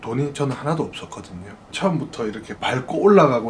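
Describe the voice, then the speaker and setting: Someone speaks with a Busan accent over noticeable background noise. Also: man. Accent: Busan-area Gyeongsang. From Gyeongsang region, South Korea (Busan area). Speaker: restaurant franchise owner. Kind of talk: interview.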